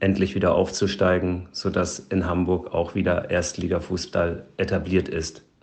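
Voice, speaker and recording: At a fairly slow pace, a man speaks in a very deep, low voice with monotone, flat intonation. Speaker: sports scientist and athletic coach. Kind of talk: interview.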